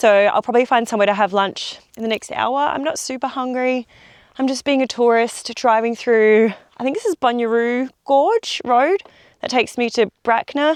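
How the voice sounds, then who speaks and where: A woman with an Australian accent speaks at a moderate pace, her pitch high and her pitch variation ordinary. The background is quiet. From South Australia. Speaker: travel vlogger. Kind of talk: vlog narration while driving. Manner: casual, chatty with fillers.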